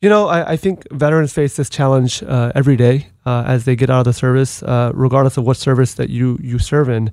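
A man uses an unremarkable speaking voice at medium pitch with ordinary pitch variation. He talks at a fairly quick pace with hardly any pauses. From US (moved from abroad at six or seven). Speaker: Marine Corps veteran and advocate. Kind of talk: interview. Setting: studio.

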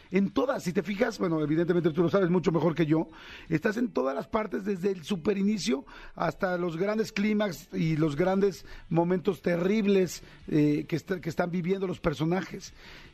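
A man with a Mexican accent speaks at a moderate pace, his high pitch carrying a dark, mellow tone and ordinary pitch variation. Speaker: radio host. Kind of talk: interview. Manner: animated.

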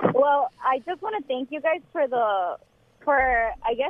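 At a fairly slow pace, a woman speaks in a high voice. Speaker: co-pastor. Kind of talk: call-in conversation. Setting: phone call.

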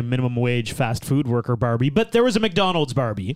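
A plain, everyday voice from a man, medium in pitch, at a fairly quick pace with ordinary pitch variation. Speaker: podcast host.

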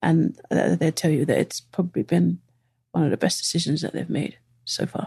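In a London accent, a woman speaks at a moderate pace, the sound dry and close with no echo. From East London. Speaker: lawyer-turned-soccer coach. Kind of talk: casual interview chat.

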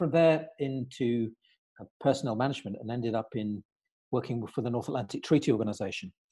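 A man's medium-pitched, dark, mellow voice with a British accent at a fairly quick pace against a quiet background. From Britain. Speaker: career coach. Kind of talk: podcast interview. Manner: halting, with many repeated words.

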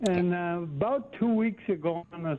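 Here a man speaks with an American accent. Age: 80s+. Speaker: caller. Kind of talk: call-in question. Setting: phone call.

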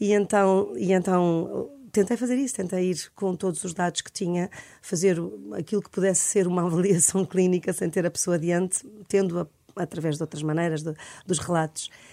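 A woman speaks with a dark, mellow tone and a fairly low pitch. Her pace is moderate and her pitch varies in an ordinary way. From Portugal, Lisbon. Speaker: psychologist and author. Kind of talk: radio interview. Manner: halting, many repetitions.

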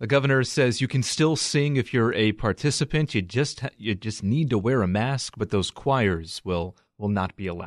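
Over a quiet background with a dry, close sound and no echo, a man speaks in a normal speaking voice at a moderate pace and a medium pitch, with lively intonation and hardly any pauses. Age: 30s. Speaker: radio news host. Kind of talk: news reading.

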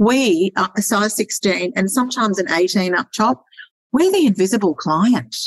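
A woman with an Australian accent speaks at a medium pitch with lively intonation. Her loudness stays very even, and the sound is dry and close with no echo. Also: moderate pace. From Sydney, Australia. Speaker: lingerie stylist and business mentor. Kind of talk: casual interview chat.

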